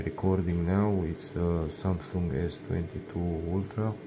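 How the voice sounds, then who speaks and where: A man with a non-native accent talks at a very slow pace with fairly even intonation. Noticeable background noise runs underneath. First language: not English. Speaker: laser engraving hobbyist / YouTuber; YouTuber. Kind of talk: tutorial. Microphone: phone near.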